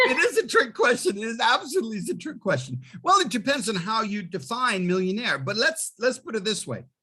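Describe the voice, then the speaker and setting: A man's raised, projected voice, bright and sharp in tone, makes very wide pitch swings at a moderate pace. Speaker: college finance instructor. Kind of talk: lecture. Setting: video call.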